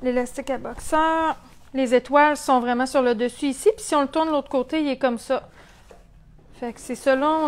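Her high-pitched voice moves at a moderate pace with fairly even intonation, while her loudness swings widely. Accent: Quebec. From Quebec. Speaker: sewing shop owner; sewing instructor. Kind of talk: tutorial. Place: workshop. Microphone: lapel.

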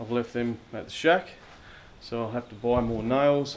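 A man at a moderate pace, light background noise present. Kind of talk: casual vlog chat. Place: workshop. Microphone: phone near.

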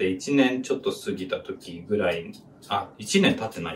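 His pitch swings very widely. A man is talking here. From Japan. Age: 20s. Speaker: YouTuber. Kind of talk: personal story while cooking. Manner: halting, many fillers. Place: kitchen. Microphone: camera far.

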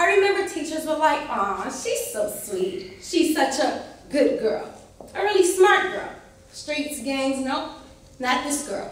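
Speaking very slowly, a woman uses a high pitch with very wide pitch swings, and audible room echo surrounds her voice. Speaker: military cadet. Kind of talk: spoken word poetry performance. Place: hall. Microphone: camera far.

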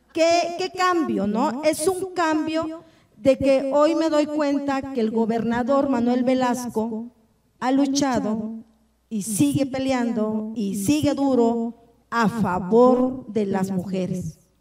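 A woman with a high pitch speaks at a very slow pace, her intonation lively. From Tapachula, Chiapas, Mexico; Chiapas, Mexico. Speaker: politician and panel moderator; politician, panel moderator. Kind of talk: panel moderation and personal testimony. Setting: symposium panel with audience. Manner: halting, repetitive. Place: hall. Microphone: handheld.

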